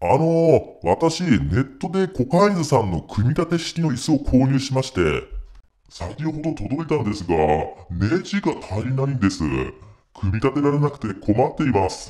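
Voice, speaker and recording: A man's put-on character voice at a medium pitch and moderate pace, with very wide pitch swings. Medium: comedy sketch. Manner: escalates from hesitant to rough shouting.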